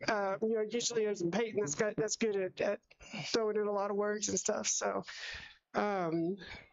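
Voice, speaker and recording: A woman at medium pitch and a moderate pace, her loudness very even and her intonation fairly even. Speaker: sports broadcaster. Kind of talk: sports commentary. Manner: halting.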